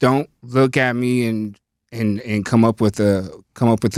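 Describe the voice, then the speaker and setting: A man in a normal speaking voice at a moderate pace, with fairly even intonation, on a very clean recording with a silent background. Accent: American. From Northern California, Lake County. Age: 30s. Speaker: rapper. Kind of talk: casual podcast interview.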